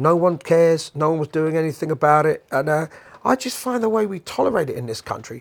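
A man with a London accent talks at a very fast pace. His fairly high pitch swings very widely. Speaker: podcast host and musician. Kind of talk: casual monologue rant. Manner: animated.

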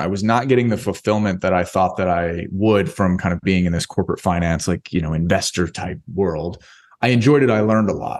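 An unremarkable speaking voice from a man, fairly quick with lively intonation, over a quiet background. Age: 30s. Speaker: entrepreneur and coach, podcast guest. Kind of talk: casual interview chat.

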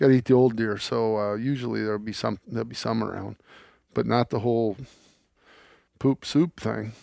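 With an American accent, a man with a dark, mellow tone speaks in a fairly even intonation with long, frequent pauses, the sound dry and close with no echo in a very clean recording over a silent background. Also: medium pitch for a man, moderate pace. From US Midwest. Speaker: landowner and hunting host. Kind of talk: casual chat.

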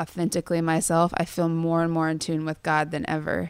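With an American accent, a woman talks at a moderate pace in a fairly low pitch. Her intonation is monotone and flat, and the recording is very clean with a silent background. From Kansas, US Midwest. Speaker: songwriter. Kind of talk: interview.

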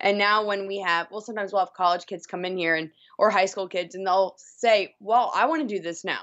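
A plain, everyday voice at a fairly quick pace. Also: woman, medium pitch for a woman, ordinary pitch variation. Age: 30s. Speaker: radio morning show host. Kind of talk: casual chat.

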